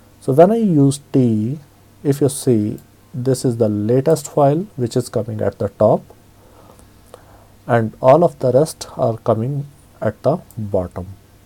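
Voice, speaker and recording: Speaking at a fairly slow pace, a man uses a medium pitch and a dark, mellow, somewhat breathy tone. His intonation is lively, with long, frequent pauses. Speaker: Linux tutorial instructor. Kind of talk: screen-recorded software tutorial. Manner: casual, hesitant with fillers.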